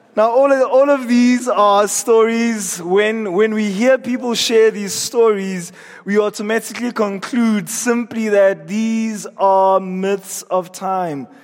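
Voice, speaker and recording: A high-pitched man speaks at a very slow pace with fairly even intonation. Noticeable background noise is present. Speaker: preacher. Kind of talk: sermon.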